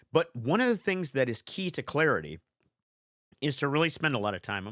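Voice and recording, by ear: A man puts on a raspy character voice, fairly high in pitch, with very wide pitch swings. He talks at a fairly quick pace, and the sound is dry and close with no echo.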